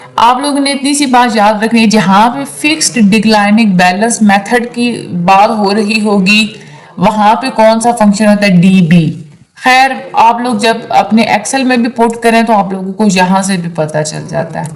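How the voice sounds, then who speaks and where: A woman with a fairly high voice talks at a fairly slow pace amid audible room echo and noticeable background noise. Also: ordinary pitch variation. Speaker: online tutor. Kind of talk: lecture. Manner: casual explanatory.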